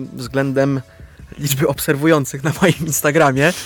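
A man's fairly high, flat monotone voice at a moderate pace, over noticeable background noise. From Upper Silesia, Poland (Łaziska Górne). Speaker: actor. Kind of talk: radio interview. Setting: studio.

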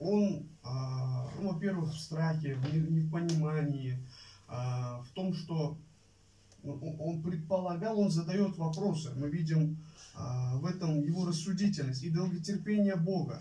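Talking at a very slow pace, a man has a dark, mellow tone and a fairly high pitch with ordinary variation. Room echo is audible. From Uzbekistan. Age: 20s. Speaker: Bible college student preacher. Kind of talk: sermon. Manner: halting, many filler sounds.

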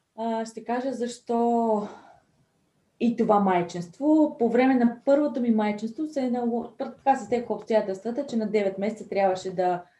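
Pitched fairly high, a woman with a dark, mellow tone speaks with very wide pitch swings. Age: 30s. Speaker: entrepreneur and mother. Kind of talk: interview.

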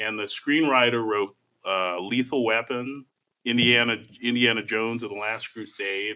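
Using an ordinary speaking voice, a man speaks at a medium pitch. His pace is moderate and his intonation fairly even. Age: 30s. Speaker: film podcast co-host. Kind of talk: casual chat.

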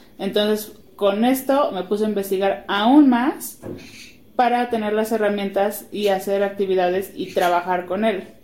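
A woman speaks at a medium pitch and a fairly slow pace with ordinary pitch variation, against noticeable background noise. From Guadalajara, Mexico. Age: 20s. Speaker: podcast co-host, preschool teacher, mother. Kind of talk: casual chat.

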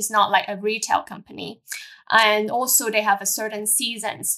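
Here a woman speaks with a Cantonese accent. Her voice is fairly high, with a bright, sharp tone. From Hong Kong. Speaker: airline pilot. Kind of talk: interview. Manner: halting.

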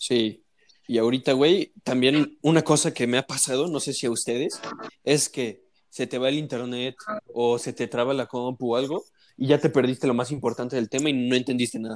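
A man speaks with a Mexican accent. His pace is moderate and his intonation fairly even. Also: medium pitch for a man. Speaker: university student. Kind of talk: casual chat.

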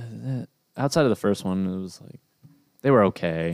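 A man speaks in an unremarkable speaking voice. His pitch is fairly low and his pace moderate. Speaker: podcast host. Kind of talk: casual banter podcast chat. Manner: joking, talkative.

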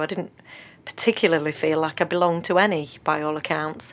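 A woman's fairly low voice with an English accent, monotone and flat, at a moderate pace. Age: 40s. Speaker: counsellor and author. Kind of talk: radio interview. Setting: radio studio.

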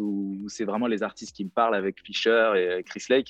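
Pitched fairly low, a man talks in an unremarkable speaking voice. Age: 30s. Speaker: DJ and music producer. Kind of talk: casual chat.

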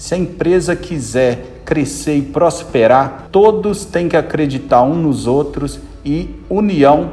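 Noticeable background noise sits behind a man who talks at a fairly slow pace with lively intonation. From Brazil, interior of Minas Gerais. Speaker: fuel station owner and business CEO. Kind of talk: interview conversation.

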